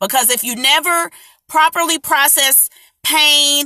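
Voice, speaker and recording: A woman talks in a raised, projected voice at a high pitch, with lively intonation. The tone is bright and sharp, and the sound is dry and close with no echo. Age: 30s. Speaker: artist and healing coach. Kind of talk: live stream talk. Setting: live video stream. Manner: casual.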